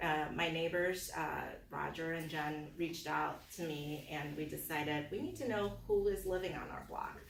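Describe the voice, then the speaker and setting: The speech moves at a moderate pace with hardly any pauses, amid noticeable background noise and audible room echo. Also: woman. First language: not English. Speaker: political candidate. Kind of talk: campaign speech. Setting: community meeting with audience. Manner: hesitant, many fillers.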